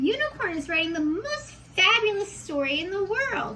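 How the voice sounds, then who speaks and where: Pitched extremely high and squeaky, this put-on character voice is raised and projected and moves at a moderate pace. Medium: read story. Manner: eager, cheerful.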